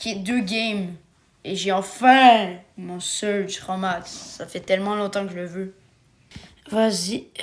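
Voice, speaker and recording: Speaking very slowly with long, frequent pauses, a woman keeps a fairly even intonation while her loudness swings widely. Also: medium pitch for a woman. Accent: Quebec. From Quebec. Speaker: gaming YouTuber. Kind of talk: casual gaming chat.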